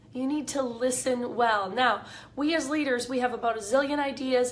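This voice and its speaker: The speech comes at a moderate pace amid noticeable background noise and audible room echo. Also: woman. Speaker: leadership coach. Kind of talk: live video talk. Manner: casual, with fillers.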